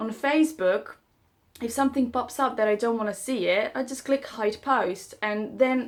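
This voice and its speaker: A woman with a non-native accent speaks at a high pitch and a fairly slow pace. The recording is very clean and the background silent. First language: not English. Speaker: self-help vlogger. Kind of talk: casual monologue to camera. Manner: halting.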